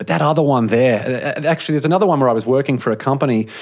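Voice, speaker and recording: A man at a medium pitch, with an Australian accent. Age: 30s. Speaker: author and podcaster. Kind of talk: interview.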